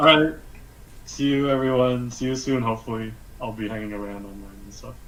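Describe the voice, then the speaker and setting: A man at medium pitch speaks at a fairly quick pace with fairly even intonation and big swings in loudness. Audible echo fills the room. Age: young. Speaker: freelance animator. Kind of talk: live-streamed interview. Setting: video call live stream.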